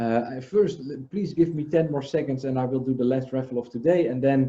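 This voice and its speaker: In a non-native accent, a man talks at a moderate pace and medium pitch, his tone dark, mellow and somewhat breathy, with ordinary pitch variation. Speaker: livestream host. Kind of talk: casual chat. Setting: video call.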